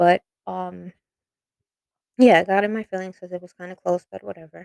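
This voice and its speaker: The sound is dry and close with no echo as a woman talks in a New York accent. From New York (Bronx). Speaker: podcaster. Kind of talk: personal storytelling monologue. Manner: hesitant, many fillers.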